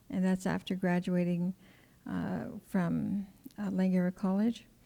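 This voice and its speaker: On a very clean recording with a silent background, a woman speaks at a medium pitch and a moderate pace. Her dark, mellow tone is somewhat breathy, with monotone, flat intonation. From Coast Salish, Pacific Northwest. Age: 60s. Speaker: community elder. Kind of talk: personal storytelling. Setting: stage with audience.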